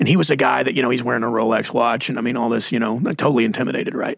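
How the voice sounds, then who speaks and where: A man at medium pitch with a Texas accent, talking at a very fast pace. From Texas (Mesquite). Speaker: pastor. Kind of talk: casual chat.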